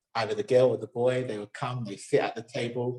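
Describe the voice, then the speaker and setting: A man with a southern English accent talks at a fairly quick pace in a somewhat breathy voice. His pitch varies in an ordinary way. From southern England, Somerset. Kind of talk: interview. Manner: halting.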